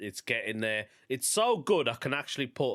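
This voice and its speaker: A man speaks in a Birmingham accent with a bright, sharp tone. The recording is very clean, with a silent background. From England, Birmingham. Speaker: stand-up comedian and podcast host. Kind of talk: casual podcast monologue.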